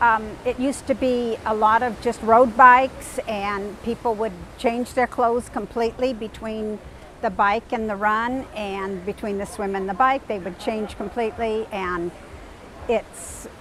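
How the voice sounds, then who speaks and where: A woman's fairly high voice at a fairly slow pace, over noticeable background noise. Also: fairly even intonation. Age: 60s. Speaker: triathlete. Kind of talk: interview monologue. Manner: halting, with fillers.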